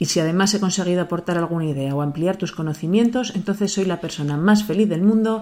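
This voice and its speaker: A woman's very fast speech, fairly low in pitch, with ordinary pitch variation and a dark, mellow tone, on a very clean recording with a silent background. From Zaragoza, Spain. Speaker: podcast host. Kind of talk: interview.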